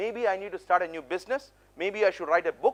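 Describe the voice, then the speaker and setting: With an Indian accent, a man speaks in a high voice with ordinary pitch variation, the sound dry and close with no echo. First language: non-English (Indian language). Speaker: motivational speaker, public speaking champion. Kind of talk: conference keynote talk. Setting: stage with audience. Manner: animated, engaging with audience.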